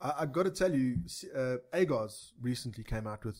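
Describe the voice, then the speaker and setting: With lively intonation, a man speaks fairly quickly in a somewhat breathy voice at medium pitch. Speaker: podcast co-host. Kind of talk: casual chat. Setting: studio. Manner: joking, banter.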